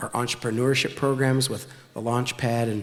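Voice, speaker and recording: This man talks at a fairly quick pace, medium in pitch, with monotone, flat intonation. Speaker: city official. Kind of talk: speech. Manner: fast.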